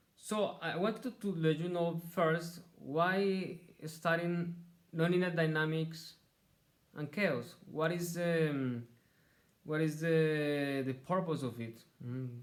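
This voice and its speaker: Speaking at a very slow pace in a strong non-native accent, a man with a fairly high pitch and ordinary pitch variation is heard with audible room echo. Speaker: university lecturer. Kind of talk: lecture. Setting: recorded online lecture. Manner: halting, with repetitions.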